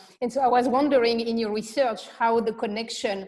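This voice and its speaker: With a French accent, a woman speaks in fairly even intonation against noticeable background noise. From France. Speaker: panel moderator. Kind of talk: panel discussion.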